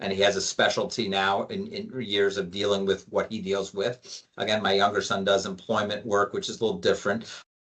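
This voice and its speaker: A man speaks in a monotone, flat intonation at a fairly low pitch. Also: fairly quick pace, hardly any pauses. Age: 60s. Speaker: lawyer. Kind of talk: interview.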